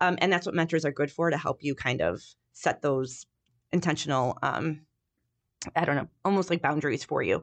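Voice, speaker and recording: A woman speaks at a moderate pace in a Chicago accent, her pitch very deep and low. Long, frequent pauses break up her speech against a quiet background. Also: ordinary pitch variation, very even loudness. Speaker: university professor. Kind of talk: casual interview chat.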